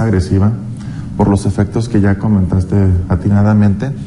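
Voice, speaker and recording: A man with a Mexican accent talks in a fairly low voice. His pace is fairly slow, and noticeable background noise is present. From Mexico. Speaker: taxpayer advocacy official. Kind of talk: TV interview. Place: studio. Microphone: lapel.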